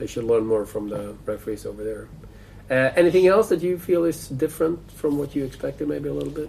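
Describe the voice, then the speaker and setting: A man with a Swedish accent speaks at a very fast pace. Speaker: sports podcast host. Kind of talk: casual interview.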